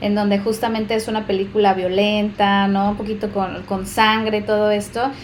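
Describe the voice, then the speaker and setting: Monotone, flat intonation moves at a fairly quick pace through audible room echo. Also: woman, medium pitch for a woman. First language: Spanish. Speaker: co-host and interpreter. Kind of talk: casual chat.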